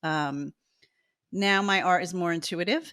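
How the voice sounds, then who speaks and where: A woman speaks at a very slow pace in a fairly low voice with an American accent. The recording is very clean, with a silent background. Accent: New Jersey accent, comes out at times. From New Jersey. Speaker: artist. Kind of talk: interview.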